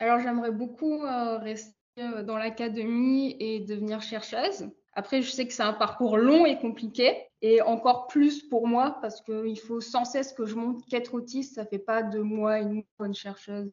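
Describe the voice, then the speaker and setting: Here is an ordinary speaking voice from a woman with a fairly high pitch. She keeps a fairly even intonation at a moderate pace. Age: 20s. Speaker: postdoctoral chemist. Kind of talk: interview.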